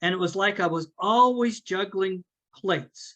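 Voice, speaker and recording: A man speaks in a raised, projected voice, high-pitched with a bright, sharp tone and ordinary pitch variation, against a quiet background. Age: 70s. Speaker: business owner and CEO giving a talk. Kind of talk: presentation talk.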